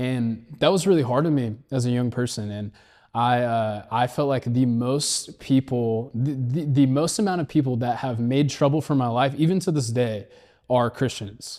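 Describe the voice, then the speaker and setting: With an American accent, a man of medium pitch and dark, mellow tone speaks at a moderate pace with ordinary pitch variation on a very clean recording with a silent background. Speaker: podcast host, reality TV contestant. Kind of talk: casual chat. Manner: loud.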